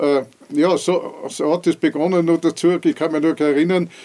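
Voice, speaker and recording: A man's dark, mellow tone. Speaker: former mayor. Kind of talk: oral history interview.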